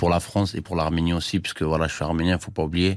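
A man talks at a very deep, low pitch with monotone, flat intonation. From Armenia. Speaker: professional boxer. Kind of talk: interview.

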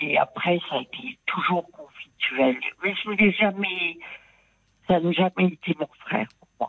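A woman talks at a very slow pace with a fairly low pitch. Her loudness swings widely. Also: ordinary pitch variation. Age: 70s. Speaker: caller. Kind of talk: personal testimony. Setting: phone call.

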